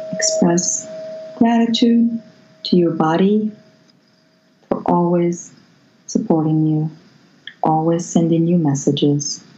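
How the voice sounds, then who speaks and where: A woman's fairly low voice at a very slow pace, with long, frequent pauses, very even loudness, ordinary pitch variation and noticeable background noise. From Morocco. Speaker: Reiki healer. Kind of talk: guided meditation.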